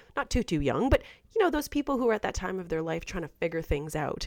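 Lively intonation marks a woman's talk, an ordinary speaking voice at a medium pitch. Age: 30s. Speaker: podcast host. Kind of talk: casual interview chat. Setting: remote call from home.

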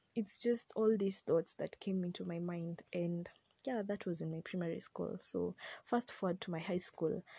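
At a moderate pace, a woman with a fairly low pitch and a dark, mellow, somewhat breathy tone speaks in fairly even intonation, the sound dry and close with no echo. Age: 20s. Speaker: podcast host, mental health advocate. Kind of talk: personal testimony.

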